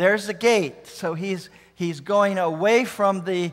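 At a moderate pace, a man talks against a quiet background. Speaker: preacher showing travel photos. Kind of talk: sermon. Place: church.

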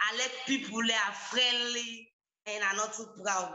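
With a Sierra Leonean accent, a woman speaks fairly slowly at a fairly high pitch, her intonation fairly even and some room echo audible. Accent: Sierra Leonean Krio-accented English. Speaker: reality show contestant. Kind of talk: audition interview. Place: home room. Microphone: phone near.

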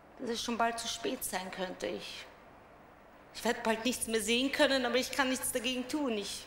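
With light background noise and audible room echo, a woman speaks at a high pitch and moderate pace with fairly even intonation. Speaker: speaker. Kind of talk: dramatic monologue. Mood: worried, anxious. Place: stage. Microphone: headset.

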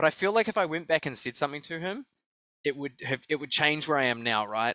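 Speaking in a New Zealand accent, a man with a fairly high pitch uses a bright, sharp tone and lively intonation, the sound dry with no echo against a quiet background. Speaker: life coach and speaker; life coach, speaker. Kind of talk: interview. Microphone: headset.

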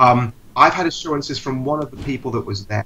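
A man talks at a very fast pace with ordinary pitch variation. Light background noise sits behind him. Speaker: church news blogger and correspondent; church news blogger, correspondent. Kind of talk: casual chat. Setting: video call. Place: home room. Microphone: call delay; video call.

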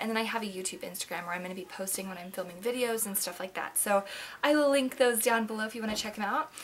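A woman talks very fast with ordinary pitch variation. Light background noise sits behind her. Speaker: beauty vlogger. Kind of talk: casual vlog chat. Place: home room. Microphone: webcam.

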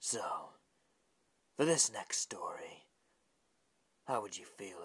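A raspy, cartoonish character voice speaks at a fairly slow pace. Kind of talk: horror host introduction. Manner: smug, theatrical.

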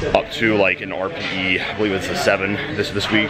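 This man's speech comes with loud background noise around it. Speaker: powerlifter vlogger. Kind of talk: casual vlog chat. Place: gym. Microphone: phone near.

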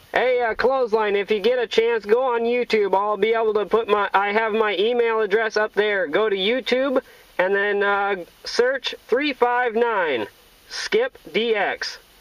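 A man with a high pitch, ordinary pitch variation, few pauses and a fairly slow pace

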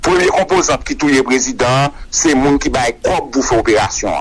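Noticeable background noise sits behind a man speaking at a moderate pace. His pitch is fairly high for a man, and his intonation stays fairly even. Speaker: political commentator. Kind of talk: interview.

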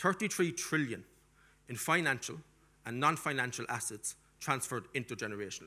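A man with a strong Cork accent, fairly quick and lively in intonation, broken by long, frequent pauses. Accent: strong Irish (Cork). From Ireland, Cork; Ireland. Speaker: diaspora policy expert and lecturer; conference speaker. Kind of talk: conference keynote lecture; panel discussion. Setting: stage with audience. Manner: animated. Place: hall. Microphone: podium.

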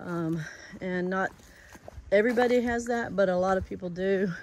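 At a moderate pace, the speech sounds dry with no echo, with light background noise behind it. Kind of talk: casual vlog chat. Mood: matter-of-fact about foot pain. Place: forest. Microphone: phone near.

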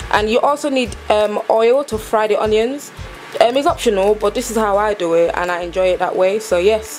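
A woman at a moderate pace with ordinary pitch variation, faint music behind her. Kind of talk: tutorial.

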